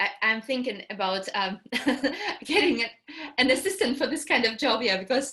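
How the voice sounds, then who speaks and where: A woman speaks with a Russian accent. Her pitch is fairly high, with ordinary variation. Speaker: English teacher. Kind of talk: online workshop introduction. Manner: halting.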